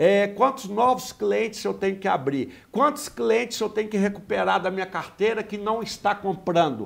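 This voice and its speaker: Speaking with a high pitch at a moderate pace, a man runs on with hardly any pauses. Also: ordinary pitch variation. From Brazil, interior of Minas Gerais. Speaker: sales trainer, business owner. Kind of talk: interview. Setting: studio.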